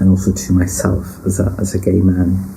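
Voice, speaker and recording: Audible room echo and noticeable background noise surround speech at a moderate pace. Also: man. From northern England, British Pakistani. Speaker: personal storyteller. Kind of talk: personal testimony.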